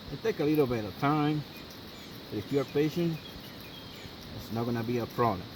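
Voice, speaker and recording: Over noticeable background noise, a man with a non-native accent talks at a fairly quick pace with lively intonation and long, frequent pauses. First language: not English. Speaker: outdoor survival video maker. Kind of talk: tutorial. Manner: halting, many fillers.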